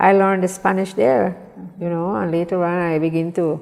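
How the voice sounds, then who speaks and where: A woman with a Belizean accent, fairly low in pitch, with ordinary pitch variation and a moderate pace. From Belize, Mopan Maya village of San Antonio. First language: Mopan Maya. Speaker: small business owner. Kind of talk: interview. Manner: halting.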